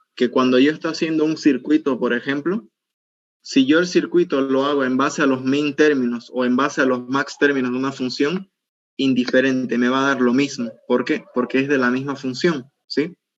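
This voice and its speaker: A man talks in a plain, everyday voice at a medium pitch. His intonation stays fairly even, and his pace is moderate. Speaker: university teaching assistant. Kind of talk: tutorial.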